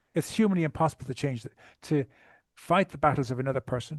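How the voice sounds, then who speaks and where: Over a quiet background, a man with a fairly high pitch speaks very fast in a somewhat breathy voice, the sound dry and close with no echo. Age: 60s. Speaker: trauma recovery coach. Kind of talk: podcast interview. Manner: halting.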